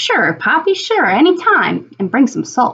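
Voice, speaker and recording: A put-on character voice growls at a high pitch. Its pitch swings very widely at a moderate pace. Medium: read story. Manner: growly, grumbling.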